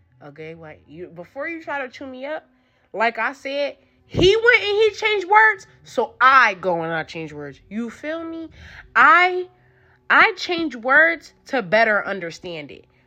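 Against a quiet background, a woman projects a raised voice with a bright, sharp tone at a moderate pace, her pitch swinging very widely and her loudness shifting greatly. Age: 20s. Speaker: podcast host. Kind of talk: casual monologue.

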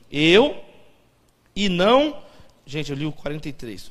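A man speaks at a very slow pace, his pitch swinging very widely. Audible room echo surrounds his voice. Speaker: pastor. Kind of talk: sermon. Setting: church.

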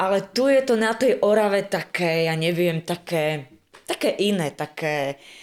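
A woman's lively intonation comes through in a normal speaking voice at a fairly slow pace. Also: medium pitch for a woman. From western Slovakia, near Zlaté Moravce. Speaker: art school teacher and wedding folk group leader. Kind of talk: casual chat.

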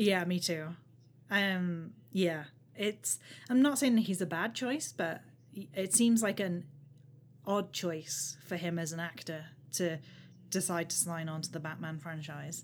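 Somewhat breathy, a woman speaks at a fairly low pitch with ordinary pitch variation. Her pace is fairly slow, broken by long, frequent pauses. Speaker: podcast host. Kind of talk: casual chat. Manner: self-deprecating, rambling.

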